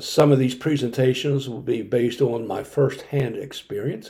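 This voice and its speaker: A man's somewhat breathy, dark, mellow voice with an American accent, at a moderate pace. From Maryland, Howard County. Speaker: retired fire service officer and local historian. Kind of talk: scripted presentation. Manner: formal.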